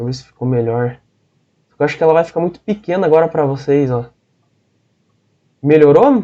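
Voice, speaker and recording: A man's dark, mellow tone at a fairly high pitch, fairly quick pace broken by long, frequent pauses, ordinary pitch variation and big swings in loudness. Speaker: teacher. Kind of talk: online lecture.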